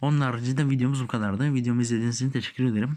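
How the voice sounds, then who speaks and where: At a medium pitch, a man is talking. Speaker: gaming youtuber. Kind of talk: tutorial. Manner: halting.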